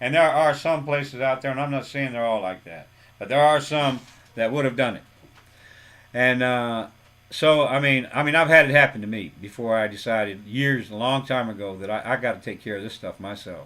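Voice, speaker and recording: A man talks at a fairly quick pace and medium pitch. His tone is bright and sharp, with ordinary pitch variation. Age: 60s. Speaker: auto mechanic, YouTube creator. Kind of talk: casual talk to camera. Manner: halting, many fillers and repeats.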